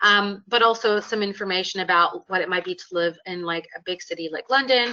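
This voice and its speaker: A woman's medium-pitched voice with a Canadian accent, ordinary pitch variation and a moderate pace. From Canada (Calgary, Alberta). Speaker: law lecturer. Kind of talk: webinar presentation. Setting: online webinar with webcam. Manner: hesitant with many fillers.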